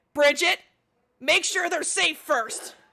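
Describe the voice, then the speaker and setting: A woman puts on a character voice at an extremely high pitch. Her voice is raised and projected, with ordinary pitch variation. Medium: actual play. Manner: weary, sighing.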